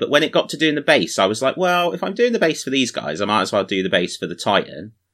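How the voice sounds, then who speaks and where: In a very clean recording with a silent background, a man's bright, sharp voice swings very widely in pitch. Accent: British. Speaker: podcast host. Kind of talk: casual chat. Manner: self-deprecating, joking.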